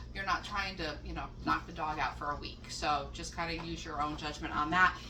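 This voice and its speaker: A woman is speaking. Audible room echo and noticeable background noise surround her voice. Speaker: home cook making dog treats. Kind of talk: cooking tutorial. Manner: casual, chatty with fillers.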